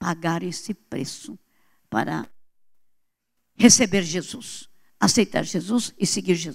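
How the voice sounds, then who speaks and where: Very slowly and with long, frequent pauses, a woman speaks in a fairly low voice with vocal fry, very wide pitch swings and big swings in loudness. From Brazil. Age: 70s. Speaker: pastor. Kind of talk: sermon.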